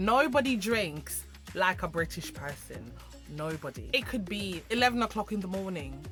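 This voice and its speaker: With music playing in the background, a woman speaks in an upbeat tone at a moderate pace. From Jamaica. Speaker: YouTuber. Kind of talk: casual talk to camera.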